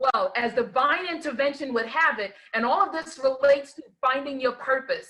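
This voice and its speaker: In an American accent, a woman uses a raised, projected voice with a high pitch, a bright, sharp tone and a fairly quick pace. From New York. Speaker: life coach and educator. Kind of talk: online talk show chat.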